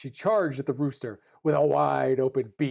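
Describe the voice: This woman's voice sits extremely low in pitch, slightly mellow in tone and marked by vocal fry.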